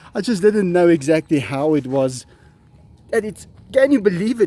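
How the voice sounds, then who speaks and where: A man's high-pitched voice with a dark, mellow tone, very wide pitch swings, and a moderate pace, in an Afrikaans accent. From South Africa. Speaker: big cat keeper. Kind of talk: casual talk to camera.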